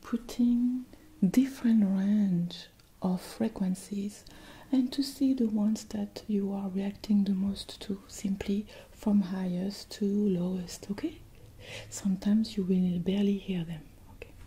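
Her pace is fairly slow. The woman's pitch shifts in an ordinary way. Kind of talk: soft-spoken role-play guidance. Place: home room.

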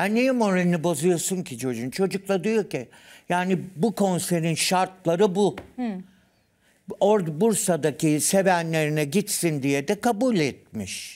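Over a quiet background, a man with a high pitch speaks at a fairly slow pace with lively intonation. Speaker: studio commentator. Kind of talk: casual TV talk show chat. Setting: studio. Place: studio.

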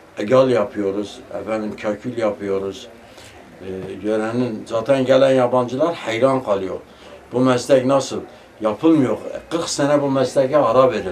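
A man with a medium-pitched voice speaks at a fairly slow pace with ordinary pitch variation over noticeable background noise. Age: 70s. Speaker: tassel maker craftsman. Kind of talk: interview answer.

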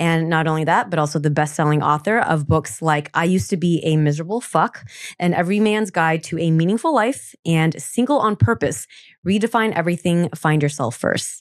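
The speech moves at a fairly quick pace, with a quiet background and a dry sound with no echo. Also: woman. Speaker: podcast host. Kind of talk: casual chat. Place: studio. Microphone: studio mic.

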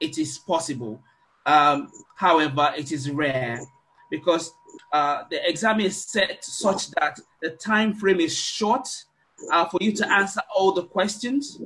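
Fairly slow, lively intonation, broken by long, frequent pauses. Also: man, high pitch for a man. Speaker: class organizer. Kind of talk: online meeting facilitation. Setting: video call. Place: home room. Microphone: webcam.

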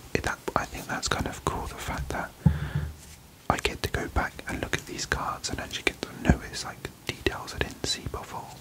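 Against noticeable background noise, a soft-spoken man whispers. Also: moderate pace. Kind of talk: casual vlog chat. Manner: soft close-mic ASMR whisper. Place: home room.

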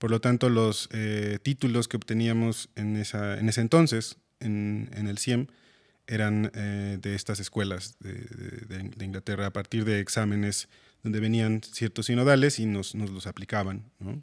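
With a quiet background, a man speaks at a fairly slow pace in a fairly low pitch, his intonation fairly even. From Mexico, Pachuca; Mexico. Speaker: composer and music teacher; music teacher. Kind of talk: interview. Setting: school. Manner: halting. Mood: calm, friendly. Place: studio. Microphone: studio mic.

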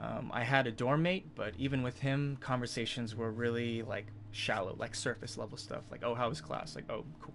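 A man at a moderate pace with ordinary pitch variation over light background noise. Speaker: live streamer. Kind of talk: casual storytelling to stream chat.

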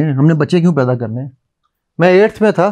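A man with a high pitch and a dark, mellow tone speaks with lively intonation over a quiet background. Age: 50s. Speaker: motivational speaker and NLP trainer; motivational speaker, NLP trainer. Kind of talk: talk to a live audience. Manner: animated. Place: studio.

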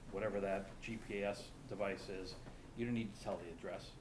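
A man speaks fairly quickly while noticeable noise sits in the background. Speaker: town manager. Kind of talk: public meeting report. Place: meeting room. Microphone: podium.

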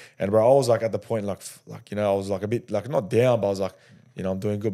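A man's fairly low-pitched voice with a dark, mellow tone and fairly even intonation over a quiet background. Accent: Australian. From Australia. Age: 20s. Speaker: rugby league player. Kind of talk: casual chat. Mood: relaxed, storytelling. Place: studio. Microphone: studio mic.

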